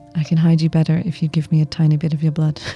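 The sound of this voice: Using a put-on character voice, a man speaks soft and breathy at a very fast pace, fairly high in pitch with flat, monotone intonation, over light background noise.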